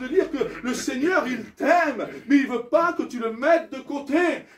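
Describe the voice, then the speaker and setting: A man talks at a moderate pace with ordinary pitch variation and big swings in loudness. Audible room echo surrounds his voice. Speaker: pastor. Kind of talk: sermon. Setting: church. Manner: animated.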